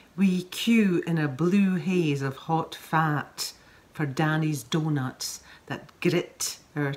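This woman has a Scottish accent and a fairly low pitch. Her voice is somewhat breathy, with ordinary pitch variation. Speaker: actress. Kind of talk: poetry reading.

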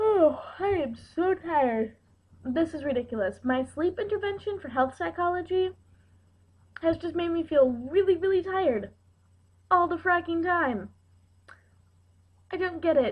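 A woman speaks at a moderate pace with an extremely high pitch. She leaves long, frequent pauses against a quiet background. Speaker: vlogger. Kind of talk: casual vlog chat. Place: kitchen. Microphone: webcam.

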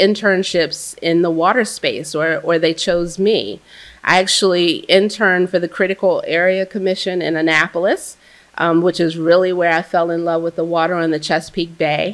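A woman speaks in an ordinary speaking voice with an American accent. Her pace is moderate and her intonation fairly even. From US Mid-Atlantic (Baltimore); Mid-Atlantic. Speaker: water utility executive; speaker. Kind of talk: panel discussion. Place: hall.

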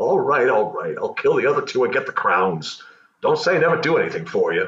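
A man in a cartoonish character voice, at a fairly quick pace. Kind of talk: comic puppet Shakespeare parody.

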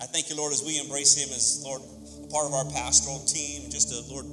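The speaker moves at a fairly quick pace. Loud music plays in the background. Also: man. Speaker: pastor. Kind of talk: sermon. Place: church. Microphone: handheld.

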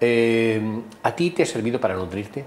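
Here a man talks at a moderate pace. His pitch is medium. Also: lively intonation.

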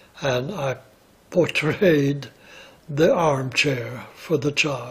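Against noticeable background noise, a man with a fairly high pitch speaks at a very slow pace with ordinary pitch variation. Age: 80s+. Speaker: retired ballet dancer. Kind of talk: interview answer. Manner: reminiscing, hesitant.

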